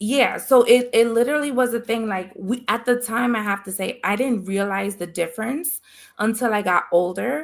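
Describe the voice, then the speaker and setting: At a moderate pace, a woman speaks with a fairly high pitch and ordinary pitch variation in a very clean recording with a silent background. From Dominican and Puerto Rican family, US East Coast. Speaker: podcast host. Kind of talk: casual chat. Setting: live stream.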